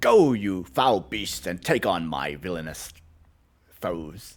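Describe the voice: Using a put-on character voice, a man talks fairly slowly with a very deep, low pitch.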